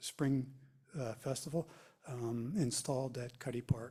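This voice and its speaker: A man's somewhat breathy voice, dark and mellow in tone, at a medium pitch. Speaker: environmental council member. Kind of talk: committee report. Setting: township public meeting. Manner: halting, many fillers.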